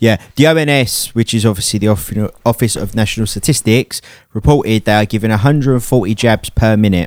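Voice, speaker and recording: With an English accent, a man speaks at a medium pitch and a fairly quick pace, with ordinary pitch variation and a dry, close sound with no echo. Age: 20s. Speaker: DJ and podcast host. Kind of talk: casual chat.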